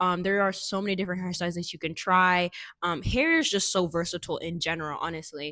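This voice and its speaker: A woman of medium pitch talks at a fairly quick pace on a very clean recording with a silent background. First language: not English. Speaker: fashion and style vlogger. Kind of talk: casual vlog talk to camera. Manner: casual, filler-heavy with frequent self-repeats.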